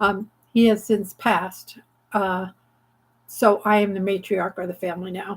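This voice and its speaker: Speaking at a fairly slow pace, a woman of medium pitch holds a monotone, flat intonation. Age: 70s. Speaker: craft channel host. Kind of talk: casual chat. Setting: livestream from home craft studio. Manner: halting, many fillers.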